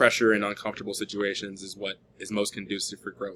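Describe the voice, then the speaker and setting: A man's bright, sharp tone in monotone, flat intonation. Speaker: student. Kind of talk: persuasive speech. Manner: halting, many fillers.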